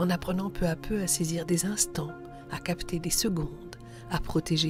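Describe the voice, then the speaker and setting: A woman speaks at a moderate pace in a fairly low pitch, with music playing in the background. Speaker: radio host. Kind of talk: reflective radio monologue.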